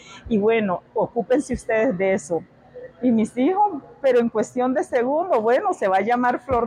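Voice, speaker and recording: Over noticeable background noise, a woman talks at a fairly slow pace in a high pitch, with very wide pitch swings yet very even loudness. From Nicaragua, Managua and Pacific side. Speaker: café owner. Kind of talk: interview. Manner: hesitant fillers.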